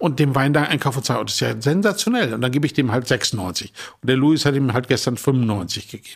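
With vocal fry and ordinary pitch variation, a man speaks at a fairly quick pace in a medium pitch. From northern Germany, Emsland. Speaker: wine merchant. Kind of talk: casual chat. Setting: hotel suite.

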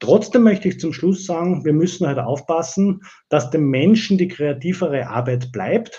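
This man's voice is high-pitched, with a dark, mellow tone. His intonation is lively and his pace moderate. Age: 40s. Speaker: digital transformation consultant and company owner. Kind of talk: interview. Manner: hesitant, many filler sounds.

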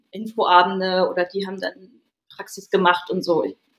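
Using a normal speaking voice, a woman talks at a medium pitch and a moderate pace. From northern Germany, Schleswig-Holstein (Stormarn). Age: 30s. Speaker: yoga teacher. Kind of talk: casual chat.

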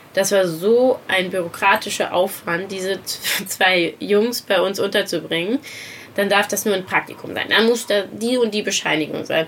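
A woman's medium pitch at a moderate pace, fairly even in intonation, with noticeable background noise. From Saarland, Germany. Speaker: interior designer and charity founder. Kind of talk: casual interview. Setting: outdoors by the sea.

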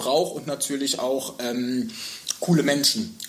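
Against noticeable background noise, a man speaks at a moderate pace with a fairly high pitch. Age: 30s. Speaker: hotel sales and marketing manager. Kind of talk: casual interview. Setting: hotel lounge room.

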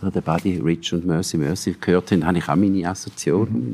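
A man speaks with a Swiss accent in a dark, mellow tone. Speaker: cultural manager and former radio music editor. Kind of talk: interview. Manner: halting.

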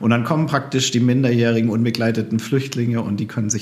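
Audible room echo surrounds a man talking at a very fast pace in a medium pitch. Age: 40s. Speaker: former missionary and refugee aid worker. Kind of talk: casual chat.

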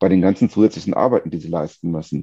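Recorded with a dry, close sound and no echo, a man talks in a dark, mellow tone with fairly even intonation. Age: 40s. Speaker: tax lawyer and company executive. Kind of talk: podcast interview.

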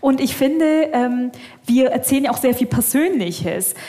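A woman with a high pitch talks at a moderate speed while noticeable noise sounds behind her. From Bavarian Swabia, Germany. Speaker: Islamic theologian. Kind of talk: live podcast panel discussion. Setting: stage with live audience. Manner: halting, many fillers.

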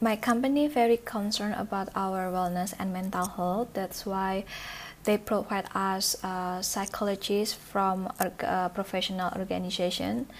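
A woman of medium pitch with an Indonesian accent talks at a fairly slow pace with fairly even intonation. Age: 20s. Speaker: office worker. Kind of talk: interview. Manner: hesitant with many fillers.

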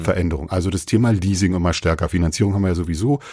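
A very deep, low, somewhat breathy male voice with a dark, mellow tone, ordinary pitch variation and a very fast pace, on a very clean recording with a silent background. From Brandenburg, Germany. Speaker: online car marketplace marketing manager. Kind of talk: casual interview chat. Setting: guest's company office.

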